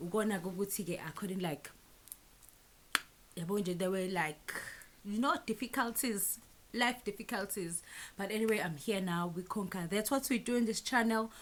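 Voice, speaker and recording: With a Zulu accent, a woman talks at a moderate pace and medium pitch. Her ordinary pitch variation is broken by long, frequent pauses. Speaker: YouTuber. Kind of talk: storytime vlog. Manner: animated.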